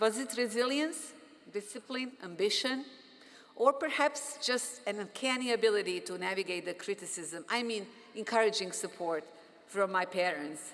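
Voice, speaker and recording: A woman with a fairly high pitch and lively intonation, moderate pace, noticeable background noise behind her. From Bosnia. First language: Bosnian. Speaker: physician and professor, commencement speaker. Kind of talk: commencement speech. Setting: stage with audience.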